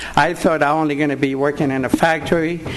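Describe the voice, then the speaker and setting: A moderate pace in a Puerto Rican accent, over noticeable background noise. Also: man. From Puerto Rico. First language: Spanish. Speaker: war veteran. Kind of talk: public comment. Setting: board meeting.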